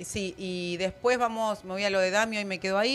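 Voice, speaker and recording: Fairly quick pace from a woman with ordinary pitch variation and faint music in the background. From Argentina. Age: 30s. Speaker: panelist. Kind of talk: casual panel chat. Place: studio. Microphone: studio mic.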